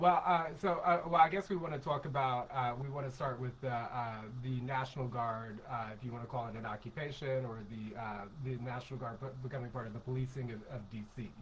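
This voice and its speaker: The speech comes at a fairly quick pace with hardly any pauses and ordinary pitch variation. There is noticeable background noise. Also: man, medium pitch for a man. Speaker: podcast co-host. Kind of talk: casual political discussion. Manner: fast; halting, many fillers.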